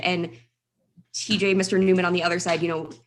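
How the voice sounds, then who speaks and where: A woman speaking at a very fast pace. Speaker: mock trial scoring judge, criminal defense attorney. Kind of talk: feedback to students. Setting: video call.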